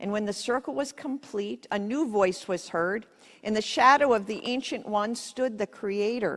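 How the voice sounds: The pitch shifts in an ordinary manner. A natural voice does the reading.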